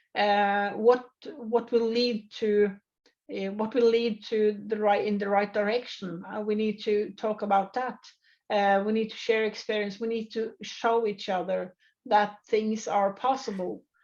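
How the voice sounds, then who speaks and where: Against a quiet background, a woman with a Norwegian accent speaks fairly slowly at a fairly high pitch, her intonation monotone and flat. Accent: non-native English, Norwegian. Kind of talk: interview. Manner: halting, many fillers.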